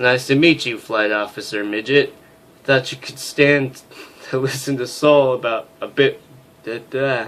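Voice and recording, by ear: The voice is reading aloud in a natural voice and shows ordinary pitch variation.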